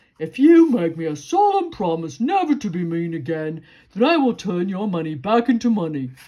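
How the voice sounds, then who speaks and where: A woman performs a put-on character voice at a medium pitch and a moderate pace. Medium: read story. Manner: rambling, hesitant, endlessly qualifying.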